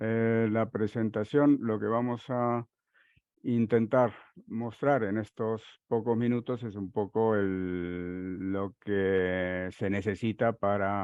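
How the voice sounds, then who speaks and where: A man's fairly low voice at a very slow pace, fairly even in intonation, against a quiet background. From Uruguay. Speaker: software consultant; conference presenter. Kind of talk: technical conference talk; technical presentation. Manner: halting, many fillers. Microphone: headset.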